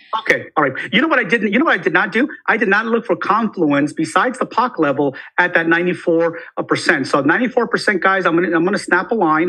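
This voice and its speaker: Someone talks at a very fast pace in an animated tone. Noticeable background noise is present. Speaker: crypto trading analyst. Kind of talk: live stream chart analysis chat.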